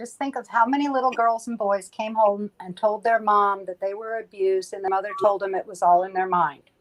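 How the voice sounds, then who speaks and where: A woman with a normal speaking voice and fairly high pitch talks at a fairly quick pace with hardly any pauses, fairly even intonation, and big swings in loudness. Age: 60s. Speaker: panelist. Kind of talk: casual chat.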